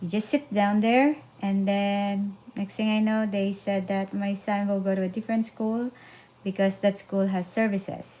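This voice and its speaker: A woman with a Filipino accent, medium pitch, dark and mellow tone, somewhat breathy, fairly even intonation and a moderate pace. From Philippines. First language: Filipino language. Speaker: parenting vlogger. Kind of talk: casual live stream talk. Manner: halting with fillers.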